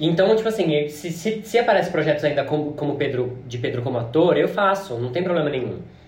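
A man talks fairly quickly at a fairly high pitch with lively intonation and hardly any pauses. Noticeable background noise is present. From interior of São Paulo state, Brazil. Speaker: drag performer and podcast co-host. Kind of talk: casual chat.

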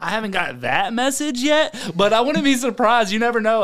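The pace is moderate. The speaker is a man with an American accent. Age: 30s. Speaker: podcast host. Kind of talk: casual chat. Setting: studio.

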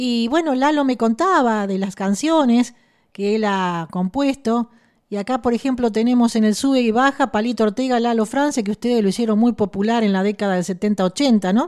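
Captured in a very clean recording with a silent background, a woman has an ordinary speaking voice, a fairly high pitch, and ordinary pitch variation. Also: moderate pace. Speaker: radio host. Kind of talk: radio interview.

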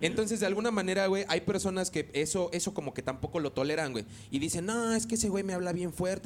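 He talks very fast in a high pitch. The man's pitch variation is ordinary. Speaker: podcast host. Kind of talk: casual chat.

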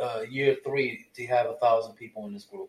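A man with a medium pitch talks at a moderate pace. He has an unremarkable speaking voice. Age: 40s. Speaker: host's fiance, film discussion guest. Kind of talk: casual chat.

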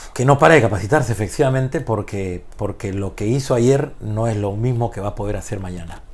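Speaking at a fairly quick pace with hardly any pauses, a man's somewhat breathy voice sits at a fairly low pitch with ordinary pitch variation. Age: 50s. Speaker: basketball coach. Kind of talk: interview conversation. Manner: halting.

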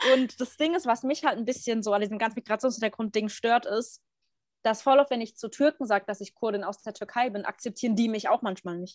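A woman's fairly high, ordinary speaking voice with ordinary pitch variation at a fairly quick pace, dry and close with no echo, on a very clean recording with a silent background. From Germany. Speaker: podcast co-host. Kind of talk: casual chat.

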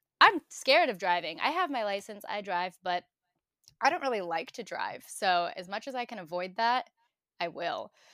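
In a very clean recording with a silent background, a woman with an American accent speaks at a moderate pace, her medium-pitched voice bright and sharp, with very wide pitch swings and big swings in loudness. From Brooklyn, New York (Bensonhurst). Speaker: digital marketer. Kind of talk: casual chat.

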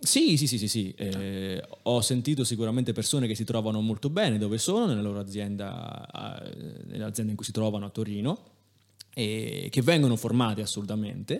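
With typical rises and falls in pitch, a man speaks rather quickly. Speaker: engineer. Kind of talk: casual chat.

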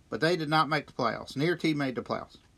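Recorded very cleanly over a silent background, a man with an American accent talks in a bright, sharp tone. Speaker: local sports podcast host. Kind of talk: sports news roundup. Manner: casual, hesitant with many uhs.

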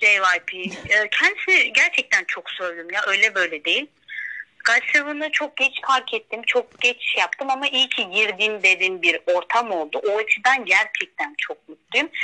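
A woman's fairly high voice with very wide pitch swings, a fairly slow pace, and a dry, close sound with no echo. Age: 20s. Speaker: university student. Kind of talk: casual chat.

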